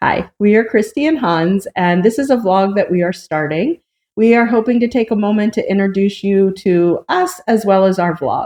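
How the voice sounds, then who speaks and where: This woman has an American accent and a dark, mellow tone. Her pitch varies in an ordinary way. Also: medium pitch for a woman, moderate pace. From United States. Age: 50s. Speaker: vlogger. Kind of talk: casual vlog introduction.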